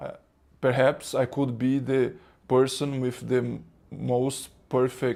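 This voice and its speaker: A man speaks at a very slow pace with a Brazilian accent. His tone is dark and mellow. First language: Portuguese. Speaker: spiritual teacher. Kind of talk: spiritual talk. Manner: halting, many fillers and repetitions.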